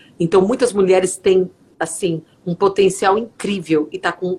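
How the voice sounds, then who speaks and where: A woman with a fairly low pitch speaks at a very slow pace. Her intonation is fairly even. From Brazil, São Paulo (São Bernardo do Campo). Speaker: psychologist and author. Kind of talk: interview. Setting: live video stream, remote.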